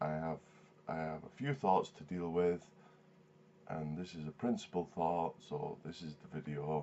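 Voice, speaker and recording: A man talks in a very deep, low pitch at a fairly slow pace. Long, frequent pauses break up his speech, which has ordinary pitch variation. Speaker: vlogger. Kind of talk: video response commentary. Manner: halting, many fillers and repeats.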